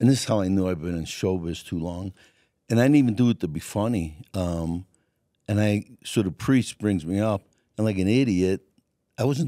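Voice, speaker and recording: Over a quiet background with a dry sound and no echo, a man with a Brooklyn accent speaks at a moderate pace in a fairly low pitch, his tone dark and mellow, with ordinary pitch variation and long, frequent pauses. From New York. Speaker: stand-up comedian. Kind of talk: interview answer. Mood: relaxed, joking storytelling. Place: studio. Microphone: studio mic.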